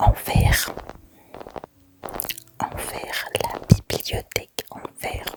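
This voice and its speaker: Whispered speech comes at a very slow pace, broken by long, frequent pauses. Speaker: ASMR content creator. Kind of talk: ASMR gameplay video with whispered reading and mouth sounds. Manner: soft, relaxing, whispered.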